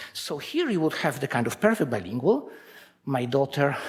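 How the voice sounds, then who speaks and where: Speaking fairly quickly with a Polish accent, a man uses lively intonation at a medium pitch. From Poland. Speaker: researcher. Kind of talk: conference talk.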